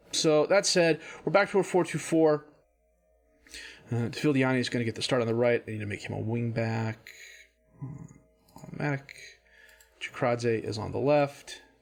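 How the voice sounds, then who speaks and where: A man with an American accent, medium pitch and lively intonation, at a moderate pace with long, frequent pauses, music playing in the background. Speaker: video game streamer. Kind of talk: gameplay commentary. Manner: casual, thinking aloud.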